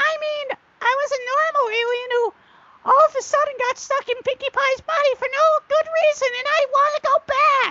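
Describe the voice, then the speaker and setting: At a moderate pace, a put-on character voice comes through at an extremely high pitch. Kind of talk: read story. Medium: read story. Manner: pleading.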